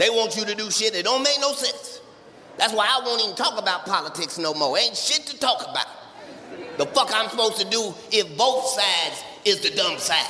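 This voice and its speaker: Noticeable noise sits behind a man speaking at a high pitch. His voice is raised and projected, at a moderate pace. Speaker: stand-up comedian. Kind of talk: stand-up comedy routine.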